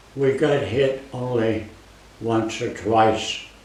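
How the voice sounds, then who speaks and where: A man's fairly even intonation comes through against noticeable background noise. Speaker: war veteran. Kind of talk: interview answer. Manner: slow.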